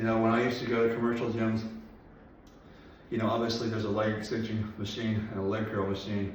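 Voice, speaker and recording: A man's mumbling at medium pitch, very fast yet broken by long, frequent pauses, monotone and flat, with audible room echo and noticeable background noise. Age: 40s. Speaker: personal trainer and bodybuilder. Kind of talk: workout vlog. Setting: home garage gym.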